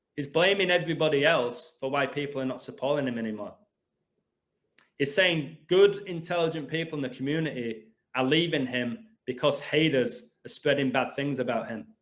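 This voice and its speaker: A man with an English accent, fairly high in pitch, at a fairly quick pace with ordinary pitch variation. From England. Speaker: gematria video host. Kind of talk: heated rant. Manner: animated.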